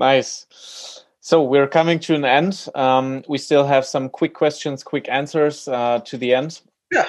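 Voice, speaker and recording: This is an ordinary speaking voice at a fairly slow pace. Its intonation is fairly even. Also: man. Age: 20s. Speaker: podcast host. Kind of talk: interview.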